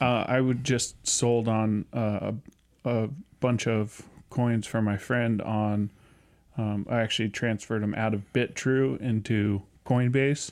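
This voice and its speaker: Recorded very cleanly against a silent background, a man speaks at a medium pitch with very even loudness in a plain, everyday voice. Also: fairly even intonation, fairly slow pace. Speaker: podcast co-host. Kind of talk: casual chat.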